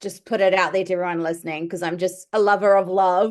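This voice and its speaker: Here is a woman with a New Zealand accent. Her pitch is medium and varies in an ordinary way. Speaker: podcast host and medium. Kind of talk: podcast interview. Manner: animated.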